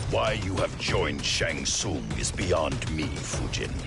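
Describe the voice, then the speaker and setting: A man speaks at a fairly slow pace in a put-on character voice, with loud music playing in the background. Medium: machinima. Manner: stern, distrustful.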